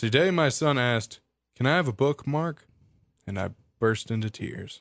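A man speaks in a Southern US accent. His intonation is lively. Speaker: podcast host. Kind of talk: casual chat, dad-joke contest. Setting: radio station studio.

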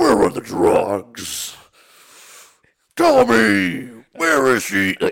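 Using a raspy, put-on character voice, a man talks at a very slow pace with long, frequent pauses. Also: medium pitch for a man. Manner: growling, interrogating.

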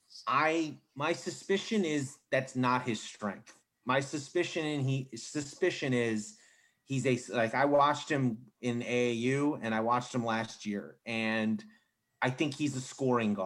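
A man speaks in a plain, everyday voice at a medium pitch and a fairly slow pace. His pitch variation is ordinary, and the recording is very clean with a silent background. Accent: American. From US Mid-Atlantic, Maryland suburbs of DC. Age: 30s. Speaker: sports journalist. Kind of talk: casual chat.

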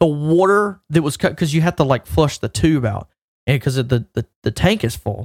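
A man talks in a fairly high, somewhat breathy voice with lively intonation. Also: moderate pace, dry, close sound with no echo. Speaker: podcast co-host. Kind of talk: casual chat.

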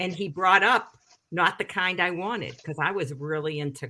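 Ordinary pitch variation runs through a voice with a bright, sharp tone. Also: woman. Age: 60s. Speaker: recovery coach. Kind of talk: casual chat. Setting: video call.

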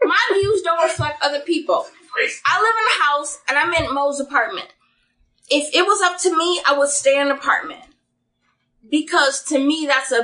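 A woman speaks in a high, bright, sharp voice, raised and projected, with ordinary pitch variation. Her loudness stays very even, broken by long, frequent pauses. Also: moderate pace. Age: 30s. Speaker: podcast guest. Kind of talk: casual chat.

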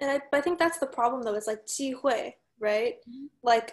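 Someone with an American accent speaks at a moderate pace against a quiet background. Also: woman. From United States. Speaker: podcast guest, Chinese American. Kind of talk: casual discussion of current events.

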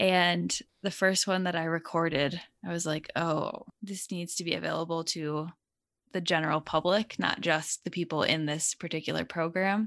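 A woman with an American accent speaks at a moderate pace and a fairly low pitch. Her intonation is fairly even, and the background is quiet. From Connecticut. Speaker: spiritual channel and meditation guide. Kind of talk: casual interview.

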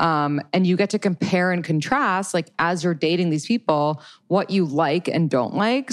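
Against a quiet background, a woman with a plain, everyday voice speaks at a moderate pace, her fairly low pitch varying in an ordinary way. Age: 30s. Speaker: dating podcaster and coach. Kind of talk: casual chat.

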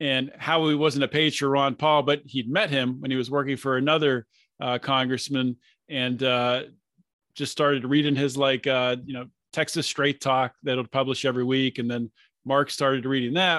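In an American accent, a man talks at a moderate pace and medium pitch, his tone bright and sharp and his intonation monotone and flat. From Pittsburgh area, Pennsylvania. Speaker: libertarian podcaster. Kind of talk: casual interview chat.

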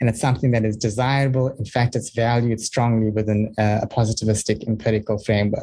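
A man's dark, mellow, somewhat breathy voice at a very fast pace. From South Africa. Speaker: audiologist and speech therapist, academic. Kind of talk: panel discussion presentation. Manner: halting, with fillers.

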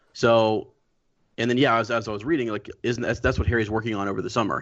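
Here a man has an ordinary speaking voice, pitched at a medium level with ordinary pitch variation. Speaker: guest co-host. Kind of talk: casual chat. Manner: joking.

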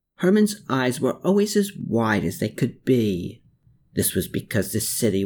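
Someone does plain reading aloud here.

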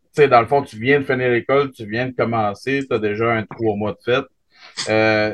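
Medium pitch from a man in a Quebec accent, with ordinary pitch variation. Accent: Québécois French. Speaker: podcast host. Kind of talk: casual chat.

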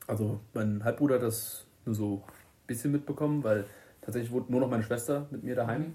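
The man's tone is dark and mellow, somewhat breathy. His intonation is fairly even. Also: medium pitch for a man, fairly quick pace. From Germany, Limburg-Weilburg district, Hesse. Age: 20s. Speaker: electrician. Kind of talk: casual chat. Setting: recorded on a tablet microphone.

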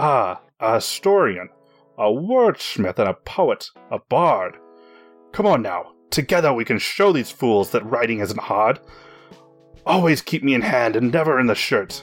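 Over faint music in the background, a man in a gruff, put-on character voice at medium pitch speaks at a moderate pace with long, frequent pauses. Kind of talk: rhyming, theatrical.

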